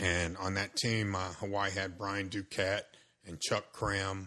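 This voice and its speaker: Against a quiet background, a man with a very deep, low pitch speaks at a very slow pace. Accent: American. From South Central Los Angeles. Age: 60s. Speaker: high school baseball coach. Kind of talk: casual interview chat.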